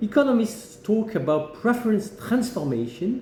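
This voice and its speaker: Noticeable background noise and audible room echo surround a man speaking with a French accent. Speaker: management academic. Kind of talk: opinion monologue.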